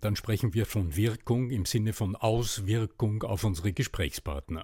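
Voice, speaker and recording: A man speaks at a moderate pace in a fairly low pitch. His tone is dark and mellow, and somewhat breathy. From Upper Austria. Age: 60s. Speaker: voice and rhetoric coach. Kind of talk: interview. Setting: remote podcast recording.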